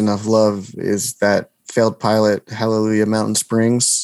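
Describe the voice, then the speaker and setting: A man at medium pitch talks with an American accent on a very clean recording with a silent background. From New Jersey. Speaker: comedy video maker and actor. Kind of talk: casual interview chat.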